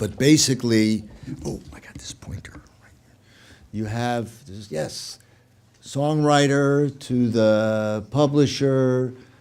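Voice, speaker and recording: Speaking very slowly with an American accent, a man uses a medium pitch and ordinary pitch variation. His loudness swings widely, and room echo is audible. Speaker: music copyright lawyer, lecturer. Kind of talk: lecture.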